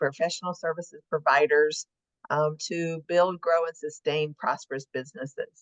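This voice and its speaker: A woman with a Southern US accent and a fairly low pitch. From US South. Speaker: marketing agency owner. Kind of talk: casual chat. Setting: studio.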